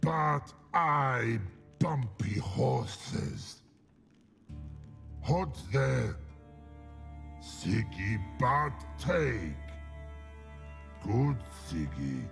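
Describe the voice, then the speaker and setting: In a put-on character voice with a fairly low pitch, a man speaks at a very slow pace with very wide pitch swings and long, frequent pauses, over clear music in the background. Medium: video game. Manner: terse, flat.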